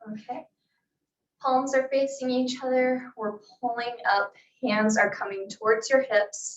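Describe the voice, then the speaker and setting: A soft-spoken woman's high-pitched voice at a fairly slow pace, with long, frequent pauses. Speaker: fitness instructor. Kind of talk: exercise class instruction. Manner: calm.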